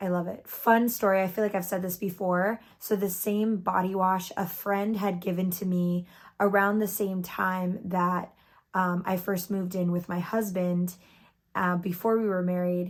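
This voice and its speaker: In a flat monotone at a medium pitch, a woman speaks at a moderate pace on a very clean recording with a silent background. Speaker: beauty youtuber. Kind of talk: product review vlog. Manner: casual, chatty.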